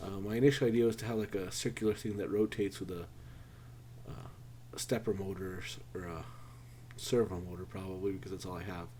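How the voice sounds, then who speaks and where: Speaking at a very fast pace yet with long, frequent pauses, a man with a very deep, low pitch and a dark, mellow tone uses vocal fry, lively intonation and big swings in loudness. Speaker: maker and programmer vlogger. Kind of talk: casual project vlog. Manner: halting, many fillers; self-deprecating, unpolished.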